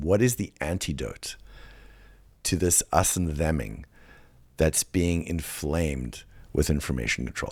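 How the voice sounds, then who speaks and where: Through a very clean recording with a silent background, a man with a very deep, low pitch and vocal fry speaks at a moderate pace. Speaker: podcast host. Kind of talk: solo podcast monologue.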